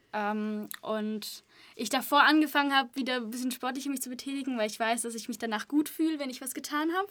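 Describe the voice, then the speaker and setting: On a very clean recording with a silent background, a woman speaks at a high pitch and a fairly quick pace, with big swings in loudness and ordinary pitch variation. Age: 20s. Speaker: media studies student. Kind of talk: casual chat.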